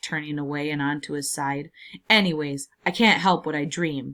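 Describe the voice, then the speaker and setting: A raspy put-on character voice at a moderate pace, with fairly even intonation. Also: woman, very deep, low pitch for a woman. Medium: read story. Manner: weary, gloomy.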